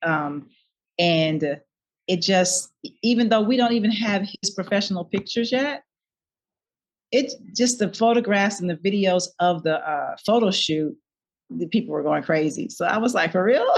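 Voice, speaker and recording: A woman at a medium pitch with lively intonation, a moderate pace and long, frequent pauses. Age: 60s. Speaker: nonprofit founder and model. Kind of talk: interview. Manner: halting.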